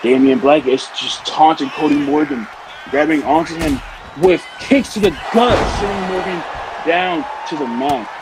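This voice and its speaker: Lively intonation marks a man's moderately paced speech, set against noticeable background noise. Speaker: wrestling commentator. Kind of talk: live commentary. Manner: mumbling.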